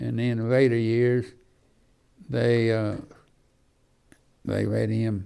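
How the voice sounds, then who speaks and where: A man with an Alabama accent has a dark, mellow tone. He talks at a very slow pace. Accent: Southern US (Alabama). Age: 80s+. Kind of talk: local history reminiscence to an audience. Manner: rambling, halting.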